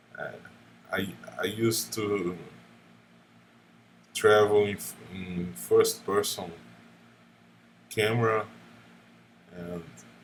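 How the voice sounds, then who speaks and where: A man with a non-native accent speaks in a fairly low pitch. His pace is very slow. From Brazil. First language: Portuguese. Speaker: gaming YouTuber. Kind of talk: unscripted monologue. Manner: halting, many fillers.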